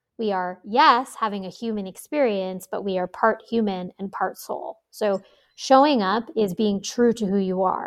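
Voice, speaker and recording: A plain, everyday voice from a woman with an American accent, medium pitch, moderate pace and ordinary pitch variation. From New York. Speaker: astrologer and meditation teacher. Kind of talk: interview.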